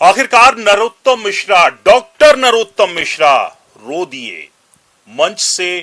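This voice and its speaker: A man's high, bright, sharp voice with very wide pitch swings. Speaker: news commentator. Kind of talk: news commentary narration.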